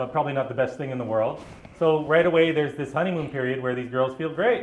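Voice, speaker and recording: Someone with a Canadian accent speaks with ordinary pitch variation, amid noticeable background noise and audible room echo. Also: man. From British Columbia, Canada. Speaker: activist. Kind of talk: live talk to audience.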